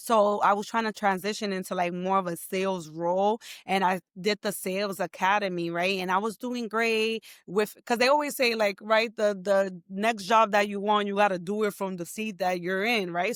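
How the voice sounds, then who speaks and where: There is a woman with a New York accent speaking at a medium pitch and a moderate pace. Her tone is animated, and the recording is very clean with a silent background. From New York, the Bronx. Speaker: entrepreneur and tech professional. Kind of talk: interview conversation.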